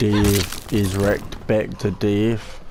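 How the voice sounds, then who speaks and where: Audible room echo and noticeable background noise surround a man speaking in a flat, monotone way. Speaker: gaming youtuber. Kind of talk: gameplay commentary. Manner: low-energy, laid-back; hesitant with fillers.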